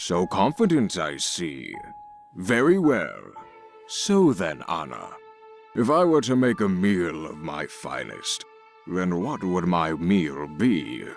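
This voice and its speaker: In a cartoonish character voice with a very deep, low pitch, a man talks at a fairly slow pace over clear music in the background. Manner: imperious, commanding.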